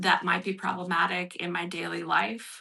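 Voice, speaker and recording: A woman's fairly low-pitched voice with vocal fry and a bright, sharp tone. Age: 60s. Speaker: artist and recovery workshop leader. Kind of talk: workshop talk with reading aloud. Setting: livestream broadcast. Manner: hesitant, many fillers.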